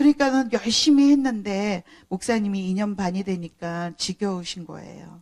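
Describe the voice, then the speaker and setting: Over a dry, close sound with no echo, a woman speaks at a moderate pace in a plain, everyday voice. Her pitch is medium, with ordinary variation. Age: 60s. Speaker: pastor. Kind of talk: sermon. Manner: conversational.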